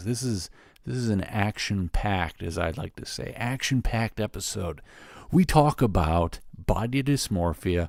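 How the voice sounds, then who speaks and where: On a very clean recording with a silent background, a man with a plain, everyday voice and a fairly low pitch talks at a fairly slow pace with lively intonation. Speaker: podcast host. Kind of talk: podcast intro and conversation.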